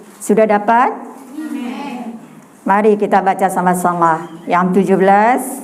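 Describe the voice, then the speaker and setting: A woman speaks at a medium pitch with ordinary pitch variation and a fairly slow pace, pausing long and often. Noticeable background noise and audible room echo are present. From Madura, Indonesia (Bangkalan). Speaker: evangelist preacher. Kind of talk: sermon. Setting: women's church gathering.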